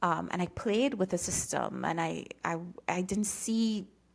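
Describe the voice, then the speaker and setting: Vocal fry with a Trinidadian accent, at a moderate pace and with ordinary pitch variation. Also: woman. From Trinidad and Tobago. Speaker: coach and former prosecutor with a doctorate. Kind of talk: podcast interview.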